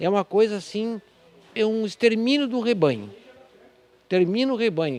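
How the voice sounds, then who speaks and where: Speaking at a moderate pace with long, frequent pauses, a man uses a high pitch and ordinary pitch variation. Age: 60s. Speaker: cattle rancher and cooperative president. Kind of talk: interview. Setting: on location at a veterinary supply store.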